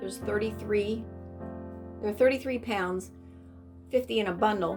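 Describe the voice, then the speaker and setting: A woman with a fairly high voice speaks at a moderate pace with fairly even intonation and long, frequent pauses, music playing in the background. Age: 60s. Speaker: craft business owner. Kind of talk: testimonial interview answer.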